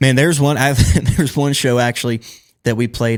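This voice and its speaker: Talking at a very fast pace, a man with a Southern US accent keeps a medium pitch and fairly even intonation. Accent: Southern American. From Georgia, USA. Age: 20s. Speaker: country singer. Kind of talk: interview answer. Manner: casual, relaxed.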